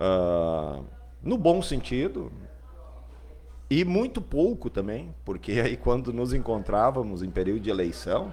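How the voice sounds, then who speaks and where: A man's very slow speech with long, frequent pauses and audible room echo. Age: 40s. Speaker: local politician, party president. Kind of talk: interview.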